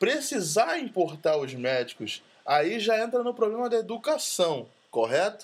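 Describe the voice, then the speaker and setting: Very wide pitch swings mark a man's high-pitched voice. He speaks at a very slow pace. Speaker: podcast host. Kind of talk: casual chat.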